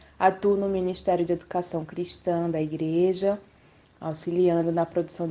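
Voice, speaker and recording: Her tone is dark and mellow, with a fairly low pitch. The woman's intonation stays fairly even. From Brazil, Recife, Pernambuco (Northeast). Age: 30s. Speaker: educator. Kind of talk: radio interview.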